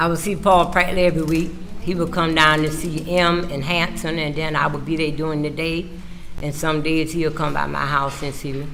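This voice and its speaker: In a South Carolina Lowcountry accent, a woman with a very deep, low pitch talks at a fairly quick pace in a monotone, flat intonation, with audible room echo and noticeable background noise. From South Carolina, Farmville. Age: 70s. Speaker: trial witness, housekeeper. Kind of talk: witness testimony. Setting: courtroom.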